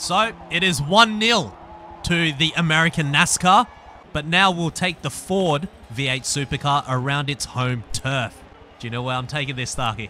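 Lively intonation marks this man's Australian accent. His pitch is fairly high and his pace moderate. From Australia (Perth, Western Australia). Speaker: gaming YouTuber. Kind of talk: casual gaming commentary. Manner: animated.

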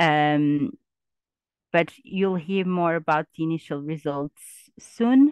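Pausing long and often, a woman speaks at a very slow pace with a fairly low pitch and ordinary pitch variation, the sound dry with no echo and the background quiet. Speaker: university researcher. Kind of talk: webinar presentation. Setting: video call.

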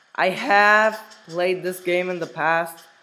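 A man's voice with fairly even intonation. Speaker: gaming youtuber. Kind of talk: gameplay commentary.

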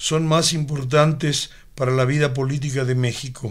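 A man speaks very slowly in a solemn tone. The recording is very clean and the background is silent. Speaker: reader of historical manifesto. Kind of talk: reading aloud. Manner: formal, solemn, measured; declamatory, earnest, steady pace.

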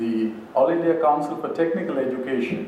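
A man speaks at a moderate pace with ordinary pitch variation. Audible room echo and light background noise surround his voice. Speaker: speaker. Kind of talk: lecture. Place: hall. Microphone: podium.

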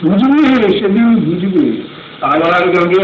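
A man's high-pitched voice carries through noticeable background noise. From India, West Bengal. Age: 50s. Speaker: teacher, drama director, orator. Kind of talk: poetry reading.

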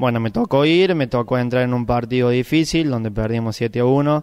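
Over a quiet background, a man speaks at a moderate pace. His intonation is fairly even. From Argentina, Córdoba province countryside. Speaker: bocce world champion. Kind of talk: interview. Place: hall. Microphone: handheld.

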